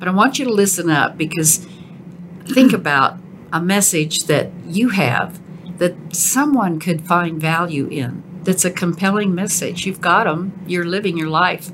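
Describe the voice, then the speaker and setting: A woman talks in a normal speaking voice at a fairly low pitch with ordinary pitch variation. Her pace is fairly slow. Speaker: podcast host. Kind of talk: casual interview chat.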